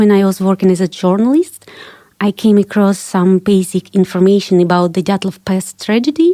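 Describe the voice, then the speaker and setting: A woman talks with a Russian accent in a dry, close sound with no echo. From Kazakhstan, Ukraine and Russia. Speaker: investigative journalist and author. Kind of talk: interview.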